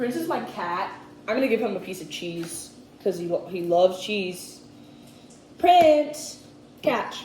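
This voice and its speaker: Amid noticeable background noise and audible room echo, a woman speaks at a fairly slow pace and a medium pitch, with long, frequent pauses, big swings in loudness and very wide pitch swings. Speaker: cooking youtuber. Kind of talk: casual cooking tutorial.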